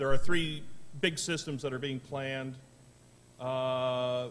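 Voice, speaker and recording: Audible room echo surrounds a man of medium pitch who talks with an American accent, fairly even intonation and a fairly slow pace. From Virginia, US. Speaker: industry speaker. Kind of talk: conference presentation. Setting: conference room with audience.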